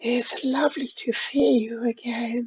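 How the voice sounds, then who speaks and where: In a put-on character voice, the speaker talks at a fairly slow pace with a fairly high, breathy sound. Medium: read story. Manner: coy, doting.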